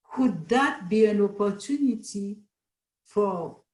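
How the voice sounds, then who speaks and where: A woman talks at a very slow pace. Her voice is somewhat breathy. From Haiti. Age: 70s. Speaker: panel guest. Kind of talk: casual chat.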